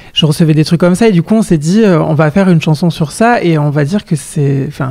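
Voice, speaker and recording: Here a man speaks at a high pitch. His pace is fairly quick. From southwest France, Lot-et-Garonne. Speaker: singer. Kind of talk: interview. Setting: radio interview. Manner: hesitant, many fillers and repetitions.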